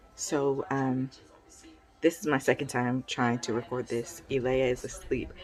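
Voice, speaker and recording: Soft-spoken and very deep, low in pitch, a woman talks at a moderate pace with music in the background. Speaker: parenting vlogger. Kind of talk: casual chat.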